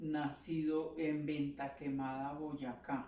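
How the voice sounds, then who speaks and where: Amid noticeable background noise and audible room echo, a woman speaks at a very slow pace with a very deep, low pitch. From Colombia, Cundinamarca (Chocontá). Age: 70s. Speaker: interviewee, grandmother. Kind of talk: interview. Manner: halting.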